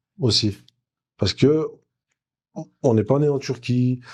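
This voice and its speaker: A man with a dark, mellow tone talks at a fairly slow pace, his pitch medium and its variation ordinary. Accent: Turkish. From France, Jura. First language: Turkish (speaking French). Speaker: former footballer. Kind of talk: interview.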